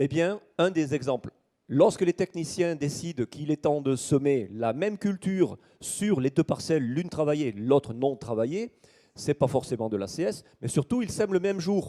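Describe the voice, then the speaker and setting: In a southern French accent, a man with a fairly high pitch and a dark, mellow tone talks at a moderate pace with lively intonation, on a dry, close recording with no echo and a silent background. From southern France, Toulouse. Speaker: agronomy researcher. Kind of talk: conference talk. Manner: hesitant with frequent fillers.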